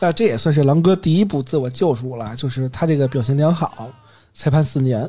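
A man speaks at a fairly quick pace with a dark, mellow tone and ordinary pitch variation. His pitch is fairly high, and his voice is somewhat breathy. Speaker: podcast host. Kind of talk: casual storytelling chat. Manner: occasionally trips over words.

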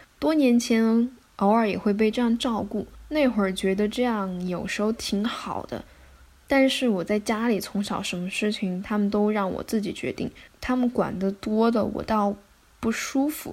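She has an unremarkable speaking voice, with a fairly high pitch and ordinary pitch variation. The woman talks at a moderate pace. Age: 20s. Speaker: podcast host. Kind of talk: scripted solo narration.

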